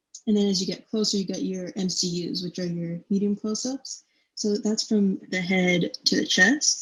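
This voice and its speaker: A woman speaks at a medium pitch with ordinary pitch variation. Her pace is moderate. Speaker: university student presenter. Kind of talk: lecture. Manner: casual, filler-heavy.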